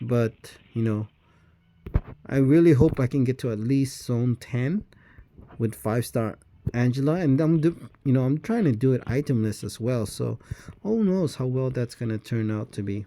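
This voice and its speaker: At a moderate pace, a man speaks in a medium pitch with a dark, mellow tone and ordinary pitch variation. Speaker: mobile game streamer. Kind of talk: casual gameplay commentary. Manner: halting, many fillers; mumbling when playing manually.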